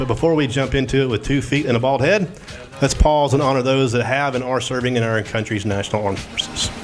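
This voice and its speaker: A man talks at a fairly quick pace in a medium pitch with ordinary pitch variation. Music plays in the background, and room echo is audible. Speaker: show co-host. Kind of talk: casual chat. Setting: studio. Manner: animated; loud.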